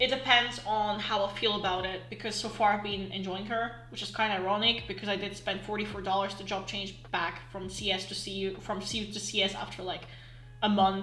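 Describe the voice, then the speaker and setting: Amid noticeable background noise, a woman speaks at a fairly quick pace with fairly even intonation. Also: medium pitch for a woman. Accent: Russian. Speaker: online game player. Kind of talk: casual gaming commentary.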